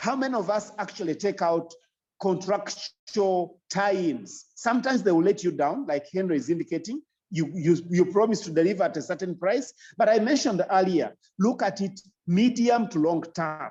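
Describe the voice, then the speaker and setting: The voice has a dark, mellow tone, a moderate pace and lively intonation. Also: man, high pitch for a man. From Uganda. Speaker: agribusiness consultant. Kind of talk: lecture. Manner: emphatic, repetitive.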